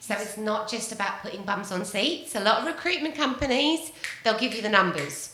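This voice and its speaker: A woman with a British accent and a fairly high pitch, with noticeable background noise and audible room echo. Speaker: business consultant and podcast host. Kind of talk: interview.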